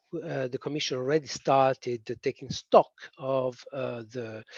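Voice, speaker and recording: Speaking at a fairly slow pace, a man with a strong Italian accent comes through dry and close with no echo. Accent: thick Italian. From Italy. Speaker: policy presenter. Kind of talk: webinar presentation. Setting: online webinar. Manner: hesitant, many fillers.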